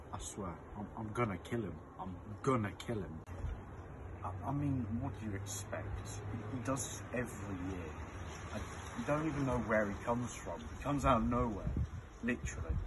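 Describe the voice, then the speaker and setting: A man at a moderate pace with long, frequent pauses, against noticeable background noise. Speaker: sketch comedian playing characters. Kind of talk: comedy sketch acting. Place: garden. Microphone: phone near.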